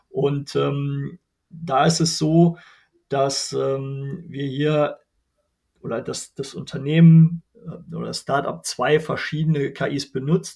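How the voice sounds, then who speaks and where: This man has a plain, everyday voice, fairly high in pitch, with fairly even intonation. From Germany, Bergisches Land (North Rhine-Westphalia). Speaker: non-profit association chairman. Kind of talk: interview.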